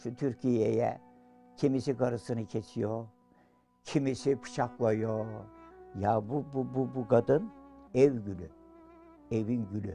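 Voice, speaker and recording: A man's very slow speech with long, frequent pauses and ordinary pitch variation, faint music in the background. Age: 80s+. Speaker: villager caring for wife with Alzheimer's. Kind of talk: interview answer. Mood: tearful, emotional. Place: home room.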